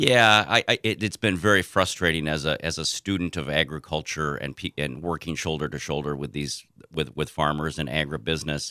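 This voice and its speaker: A man with an American accent speaks at a very deep, low pitch, with vocal fry and a bright, sharp tone. His pace is fairly quick with hardly any pauses and ordinary pitch variation, in a dry, close sound with no echo. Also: very clean recording, silent background. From southern Minnesota, US. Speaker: political candidate and agriculture lawyer. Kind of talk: interview. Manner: halting.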